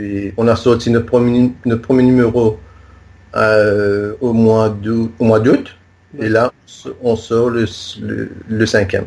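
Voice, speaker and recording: The speaker goes at a very slow pace with monotone, flat intonation. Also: man. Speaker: journalist, magazine founder. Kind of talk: interview. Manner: halting, many repetitions.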